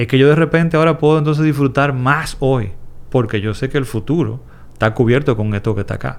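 A man speaks at a fairly quick pace over a quiet background. He has an ordinary speaking voice with medium pitch and ordinary pitch variation. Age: 40s. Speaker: investment educator. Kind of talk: interview.

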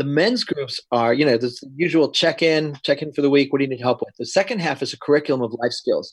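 Very fast in pace, a man with an American accent talks at a fairly high pitch with ordinary pitch variation. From New York. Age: 50s. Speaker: men's group leader. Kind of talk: casual chat.

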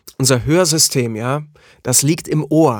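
Pitch varies in an ordinary way as a man talks at a fairly slow pace. The sound is dry and close with no echo, a very clean recording with a silent background. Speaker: voice artist and podcast co-host. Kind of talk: casual chat. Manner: animated.

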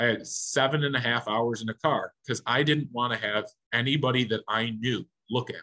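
Here a man speaks with an American accent and a bright, sharp tone. His intonation is fairly even. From western New York (Niagara County). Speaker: baseball umpire. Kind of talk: casual interview chat.

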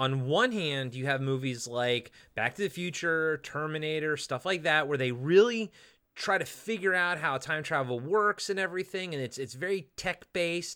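The speaker's bright, sharp tone is animated, with lively intonation at a moderate pace on a very clean recording with a silent background. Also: man. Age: 40s. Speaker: podcast co-host. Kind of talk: casual chat.

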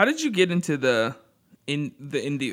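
With an ordinary speaking voice and lively intonation, a man talks at a fairly high pitch. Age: 20s. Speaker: podcast host. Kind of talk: casual chat.

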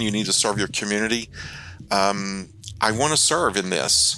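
A man speaks with a fairly low pitch. His tone is bright and sharp. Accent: American. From Arkansas Ozarks. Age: 50s. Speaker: local political candidate. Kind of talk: interview. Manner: halting, frequent repetitions.

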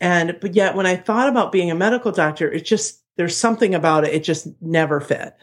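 The recording is very clean, its background silent. A woman speaks fairly quickly in it. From Ohio. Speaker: chiropractor. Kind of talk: podcast interview.

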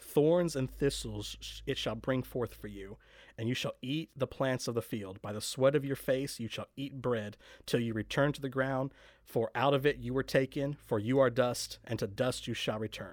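A man's plain, everyday voice at medium pitch, moderate pace, very clean recording with a silent background. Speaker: podcast host. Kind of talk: casual podcast intro and discussion. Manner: friendly, upbeat.

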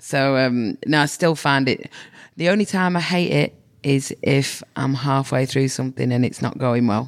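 Very even loudness in a woman's very deep, low voice. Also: ordinary pitch variation, moderate pace. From northern England, Manchester. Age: 40s. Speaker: comedian and nurse. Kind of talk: casual interview chat.

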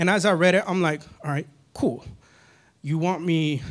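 On a very clean recording with a silent background, a man in an American accent keeps a moderate pace. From Northern California. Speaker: lay church leader giving a sermon; maintenance company owner. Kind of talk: sermon. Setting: church stage with congregation. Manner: animated.

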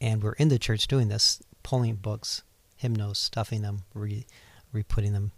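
In a very clean recording with a silent background, a man speaks with an American accent at a fairly low pitch. His voice is somewhat breathy, with ordinary pitch variation and a moderate pace. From Ohio, US Midwest. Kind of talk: casual interview, personal testimony.

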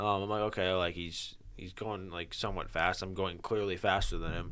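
On a very clean recording with a silent background, a man speaks at a fairly quick pace in a bright, sharp tone. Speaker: podcast host. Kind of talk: casual chat. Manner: animated.

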